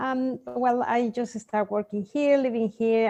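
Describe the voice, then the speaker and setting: A woman with a Mexican accent, moderate pace and fairly even intonation. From Mexico. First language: Spanish. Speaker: sleep consultant for children. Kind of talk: interview. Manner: hesitant, with fillers.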